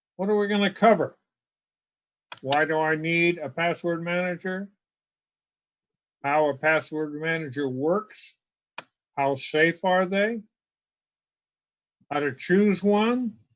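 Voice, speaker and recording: Pitched high for a man, his voice shows ordinary pitch variation. He talks at a very slow pace with long, frequent pauses. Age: 70s. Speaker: technology presenter. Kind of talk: lecture. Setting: video call. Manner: hesitant with fillers.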